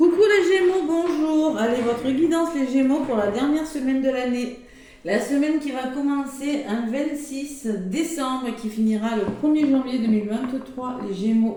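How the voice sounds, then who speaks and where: Fairly slow speech with ordinary pitch variation, noticeable background noise, and audible room echo. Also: woman, high pitch for a woman. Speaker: tarot card reader. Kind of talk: horoscope reading to camera.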